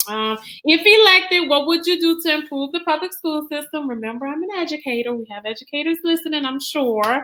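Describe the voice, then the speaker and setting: A woman projects a raised, high voice with a bright, sharp tone, speaking at a fairly quick pace. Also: lively intonation, hardly any pauses. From Louisiana, Donaldsonville. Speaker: debate moderator. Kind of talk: moderating a town hall.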